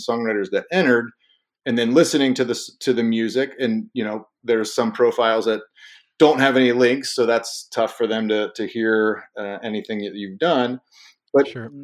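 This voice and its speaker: A man with a Midwestern US accent is heard on a very clean recording with a silent background. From Ohio, Cincinnati. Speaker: app founder. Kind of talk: casual interview.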